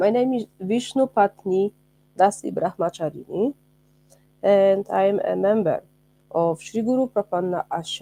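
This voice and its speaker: A woman speaks fairly slowly, with long, frequent pauses, in a dark, mellow tone at a medium pitch with ordinary variation. The sound is dry and close, with no echo. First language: not English. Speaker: spiritual teacher, ashram member. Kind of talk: religious lecture. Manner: halting, hesitant.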